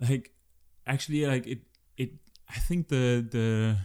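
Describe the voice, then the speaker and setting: Recorded very cleanly over a silent background, a man with a dark, mellow tone talks at a moderate pace with ordinary pitch variation. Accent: German. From Germany. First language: German. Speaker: researcher. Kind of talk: interview.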